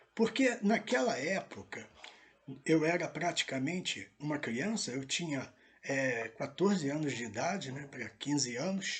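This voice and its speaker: Noticeable background noise sits behind a man's voice. He speaks at a fairly slow pace with very wide pitch swings. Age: 60s. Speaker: pastor. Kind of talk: testimony. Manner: hesitant, many fillers.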